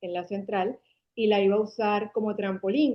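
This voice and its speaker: The speaker is a woman. She delivers her words with monotone, flat intonation. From Venezuela, Caracas. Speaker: marketing agency founder. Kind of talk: interview conversation.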